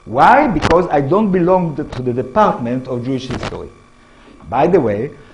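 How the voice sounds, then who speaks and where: Amid noticeable background noise and audible room echo, a man with an Israeli accent talks in a fairly high voice with lively intonation. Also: moderate pace. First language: Hebrew. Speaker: history professor. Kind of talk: lecture. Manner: halting.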